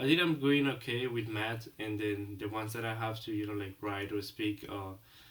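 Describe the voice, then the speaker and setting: A man with a Colombian accent speaks at a moderate pace. His voice is somewhat breathy and his intonation fairly even. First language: Spanish. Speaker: international student. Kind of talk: role-play counseling session. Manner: halting.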